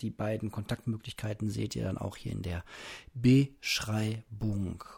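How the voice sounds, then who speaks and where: Somewhat breathy, a man speaks in a relaxed tone. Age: 30s. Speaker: podcaster. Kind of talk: casual solo monologue. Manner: relaxed, unhurried.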